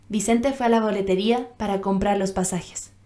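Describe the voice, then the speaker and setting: An unremarkable speaking voice from a woman at medium pitch, moderate pace and fairly even intonation. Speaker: voice actor, dubbing actress. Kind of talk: audiobook narration, first-person romantic novel.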